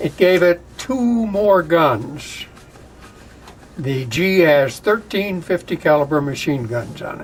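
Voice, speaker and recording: A man with a high pitch speaks at a very slow pace, his intonation lively. Noticeable background noise sits behind him. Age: 80s+. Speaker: war veteran. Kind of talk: oral history interview. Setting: aircraft cockpit. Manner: casual, with many fillers.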